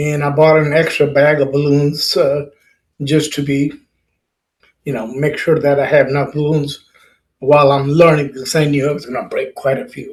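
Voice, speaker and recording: This man's voice is fairly high, somewhat breathy and flat in a monotone. He talks at a moderate pace with long, frequent pauses. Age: 70s. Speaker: balloon artist and workshop teacher. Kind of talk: casual workshop talk, personal story.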